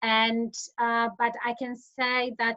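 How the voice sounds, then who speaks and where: The voice carries a Polish accent. The sound is dry and close, with no echo. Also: woman. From Poland. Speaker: insolvency professional. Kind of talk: interview. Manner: hesitant, many fillers.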